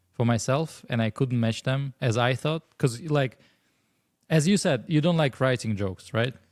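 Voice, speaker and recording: A man with a Russian accent speaks at a fairly slow pace in a medium pitch, with ordinary pitch variation and very even loudness, on a very clean recording with a silent background and a dry, close sound with no echo. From Russia (Moscow). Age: 30s. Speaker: stand-up comedian. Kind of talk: casual chat.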